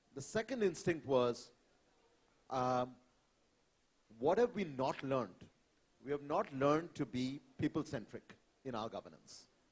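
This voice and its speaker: In a Bengali accent, the speaker goes at a fairly slow pace with lively intonation and long, frequent pauses. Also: man, fairly high pitch for a man. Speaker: climate panelist. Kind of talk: panel discussion. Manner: hesitant, many fillers.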